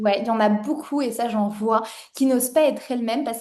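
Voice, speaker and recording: At a very fast pace, a woman speaks with a fairly high pitch and a dark, mellow tone. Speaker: online course founder and interviewer. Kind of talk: interview. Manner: loud; animated.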